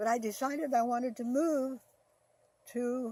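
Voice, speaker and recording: A woman with an American accent speaks at a fairly slow pace. Her voice is high-pitched with a dark, mellow tone. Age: 90s. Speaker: elderly storyteller. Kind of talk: life story testimony. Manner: halting.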